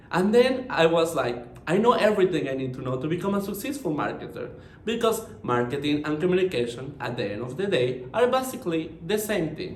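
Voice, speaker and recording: Talking fairly quickly with hardly any pauses, a man with a Mexican accent uses a high pitch and very wide pitch swings, with audible room echo and noticeable background noise. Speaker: marketing professional. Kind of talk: conference presentation.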